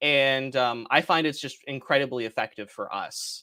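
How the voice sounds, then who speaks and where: The tone is bright and sharp. It comes with a Canadian accent. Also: man. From Canada. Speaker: software company representative. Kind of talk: webinar presentation. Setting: live stream. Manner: fast.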